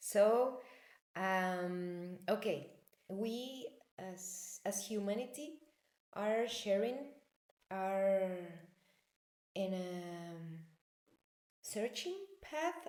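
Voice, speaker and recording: Speaking very slowly in a Spanish accent, a woman of medium pitch uses lively intonation and long, frequent pauses amid audible room echo. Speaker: personal development coach. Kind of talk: talk to camera, spiritual teaching. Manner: halting, many fillers.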